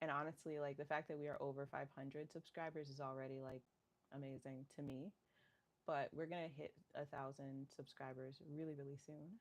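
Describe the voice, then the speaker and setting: Flat, monotone intonation comes at a fairly quick pace. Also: woman, very deep, low pitch for a woman. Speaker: fitness instructor streamer. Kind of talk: casual chat to live stream viewers. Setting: at home, livestream. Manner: halting, many fillers.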